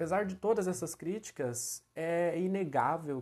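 The background is quiet as a man talks. His tone is dark and mellow. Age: 20s. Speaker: podcast host. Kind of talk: solo monologue, reflective talk. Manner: casual, frequent fillers.

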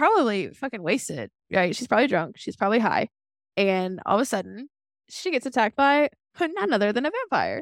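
This woman has a fairly high pitch, vocal fry and lively intonation, speaking at a fairly quick pace. The sound is dry and close with no echo, in a very clean recording over a silent background. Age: 20s. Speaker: podcast co-host recapping TV episodes. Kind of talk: casual chat. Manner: animated.

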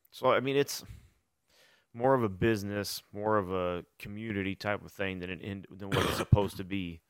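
A man's unremarkable speaking voice, fairly low in pitch, with fairly even intonation, big swings in loudness and a moderate pace, in a very clean recording with a silent background. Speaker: youth football coach. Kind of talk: casual chat. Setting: barbershop.

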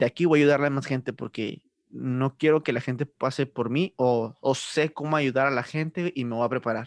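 In a quiet background with a dry, close sound and no echo, a man uses an unremarkable speaking voice, fairly high in pitch with ordinary pitch variation. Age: 20s. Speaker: podcast host. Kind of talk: casual chat.

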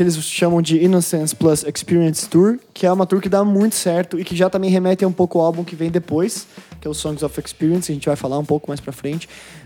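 A high-pitched man at a very fast pace with hardly any pauses and ordinary pitch variation, music in the background. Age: 20s. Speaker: podcast host. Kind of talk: casual chat.

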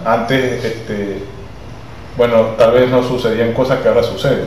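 A man speaks at a fairly quick pace, with audible room echo and noticeable background noise. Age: 40s. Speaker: podcast guest. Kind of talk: casual chat.

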